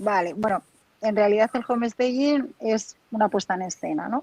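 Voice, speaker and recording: With a Spanish accent, a woman speaks at a moderate pace and a medium pitch. Her pitch varies in an ordinary way, and the sound is dry and close with no echo. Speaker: home staging professional. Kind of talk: interview.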